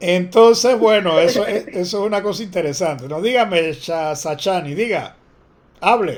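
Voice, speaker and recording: This man has a high voice and a Panamanian accent. His tone is animated, with ordinary pitch variation and a moderate pace. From Panama City area, Panama. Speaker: teacher. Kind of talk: online class lecture.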